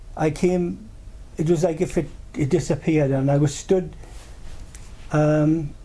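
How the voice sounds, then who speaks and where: A man with a Welsh accent speaks at a fairly slow pace, his pitch fairly high. His tone is dark and mellow, with ordinary pitch variation. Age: 70s. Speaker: paranormal experiencer. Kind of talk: interview storytelling. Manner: halting, many repetitions and fillers.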